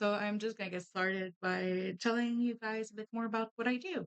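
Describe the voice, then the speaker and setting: At a moderate pace, a woman speaks in a Quebec accent, with a dry, close sound and no echo. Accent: Québécois French-accented English. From Quebec, Canada. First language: French. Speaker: streamer and artist. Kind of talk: casual chat while crafting.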